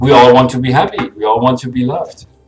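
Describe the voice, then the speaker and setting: Over noticeable background noise, a man speaks at medium pitch and a fairly quick pace. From Germany. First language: German. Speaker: vlogger. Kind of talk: personal vlog monologue. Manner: fast, getting ahead of himself.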